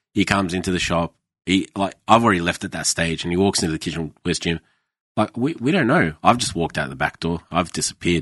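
A man with a very deep, low pitch speaks at a very fast pace, with ordinary pitch variation. The sound is dry and close with no echo, over a quiet background. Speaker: ex-chef. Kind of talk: casual chat. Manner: casual, swearing, storytelling.

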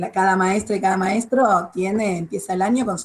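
At a moderate pace, a woman speaks in an ordinary speaking voice at a medium pitch. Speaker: retired school principal and supervisor. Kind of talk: radio interview.

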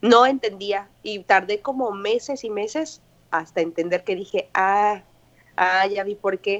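Over a quiet background, a woman with a Mexican accent speaks very slowly at a medium pitch with ordinary pitch variation. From Mexico, Morelia, Michoacán. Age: 20s. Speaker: English teacher living abroad. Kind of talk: interview, casual chat.

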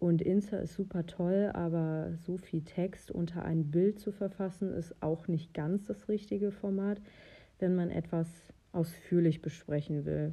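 At a fairly slow pace, a woman talks. Her fairly low pitch shows ordinary variation. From western Germany (North Rhine-Westphalia). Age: 30s. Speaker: podcast host and horse owner. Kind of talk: casual solo podcast monologue. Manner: occasionally stumbling over words.

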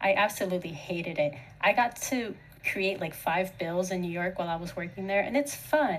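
There is noticeable background noise behind this woman. She talks at a fairly quick pace and medium pitch with ordinary pitch variation. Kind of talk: casual chat.

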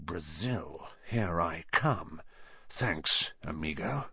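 Putting on a character voice, a man speaks at a very slow pace with a very deep, low pitch and a hissing sound.

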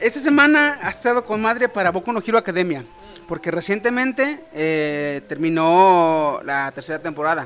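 Over noticeable background noise, the speaker uses an animated tone with very wide pitch swings at a moderate pace. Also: man, high pitch for a man. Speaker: podcast host. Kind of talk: casual chat.

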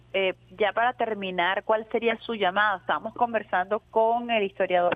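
A woman at medium pitch and a moderate pace. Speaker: radio host. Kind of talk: radio talk show. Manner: animated.

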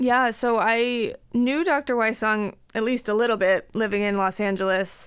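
With a normal speaking voice and an American accent, a woman talks at a moderate pace and a fairly high pitch, with ordinary pitch variation, very even loudness and hardly any pauses, on a very clean recording with a silent background. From Colorado, US. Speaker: dermatologist. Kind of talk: interview.

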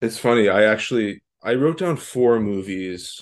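This man has a plain, everyday voice with a fairly low pitch and ordinary pitch variation. The background is quiet. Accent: Canadian. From Canada. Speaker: film podcast co-host. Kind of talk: casual chat.

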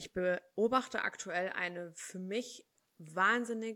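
A woman's bright, sharp-toned voice with ordinary pitch variation, on a very clean recording against a silent background. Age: 20s. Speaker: HR consultant. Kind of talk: casual interview.

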